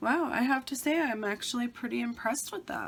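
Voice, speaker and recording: A woman talks while clearly audible noise sits in the background. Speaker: beauty vlogger. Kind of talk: casual talk to camera.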